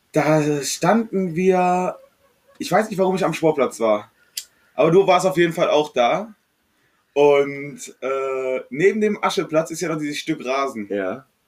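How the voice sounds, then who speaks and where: With lively intonation and long, frequent pauses, a man speaks at a fairly slow pace and a fairly high pitch. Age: 20s. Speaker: podcast guest. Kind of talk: casual chat.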